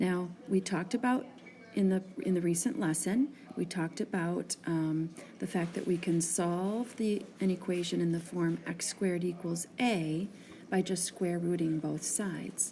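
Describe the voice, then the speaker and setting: The speaker is soft-spoken, going at a fairly slow pace with ordinary pitch variation. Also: woman, fairly low pitch for a woman. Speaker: math teacher. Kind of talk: tutorial. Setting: tire shop waiting area. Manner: hesitant with fillers.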